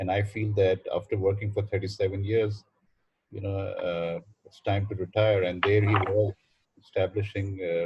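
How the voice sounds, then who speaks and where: The voice is somewhat breathy with a monotone, flat intonation. Loudness swings widely at a moderate pace. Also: man, fairly low pitch for a man. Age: 60s. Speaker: university administrator. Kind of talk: welcome speech on video call. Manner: halting, many fillers.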